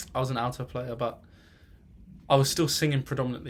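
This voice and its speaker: This man speaks with a southern English accent at a medium pitch. His pace is very fast. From England, northwest of London. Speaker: music student. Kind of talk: personal introduction monologue. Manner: halting, many fillers.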